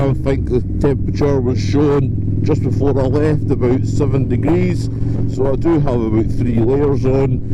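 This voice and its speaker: A man's voice at a very even loudness, with noticeable background noise. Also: moderate pace. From Scotland. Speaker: motovlogger. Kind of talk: casual moto vlog talk to camera. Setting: outdoors, riding a motorcycle.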